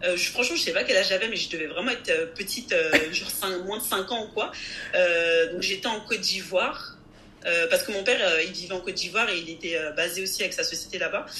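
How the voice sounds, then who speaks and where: With an animated tone, a woman talks at a fairly quick pace, at medium pitch with ordinary pitch variation. Noticeable background noise and audible room echo are present. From France. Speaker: compensation consultant and investment advisor. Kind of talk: interview.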